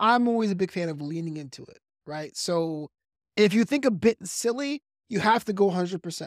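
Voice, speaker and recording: A high-pitched man with an American accent talks with lively intonation and big swings in loudness, recorded in a dry, close sound with no echo. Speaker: comedian and wedding DJ. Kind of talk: casual podcast interview. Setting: podcast conversation. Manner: fast talker.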